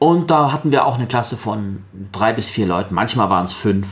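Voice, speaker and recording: Noticeable background noise runs beneath a man's voice as he keeps to a moderate pace. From Baden-Württemberg, Sindelfingen. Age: 30s. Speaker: blind guest, trained voice speaker. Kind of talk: radio interview.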